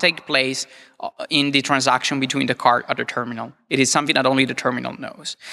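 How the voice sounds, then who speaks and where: A man with an Italian accent talks at a fairly quick pace in a fairly high voice. His tone is bright and sharp, and the background is quiet. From Italy. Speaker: security researcher. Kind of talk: lecture. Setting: stage with audience.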